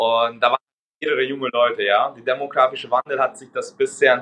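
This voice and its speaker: A man with a Hungarian accent. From Hungary. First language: Hungarian (speaking German). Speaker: recruiting agency co-founder. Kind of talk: interview.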